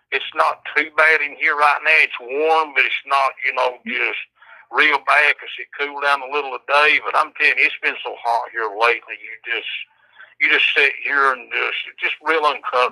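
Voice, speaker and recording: A man with a strong Southern US accent in a dry, close sound with no echo. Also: moderate pace, big swings in loudness. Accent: strong rural Southern US (country). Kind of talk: casual chat. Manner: halting.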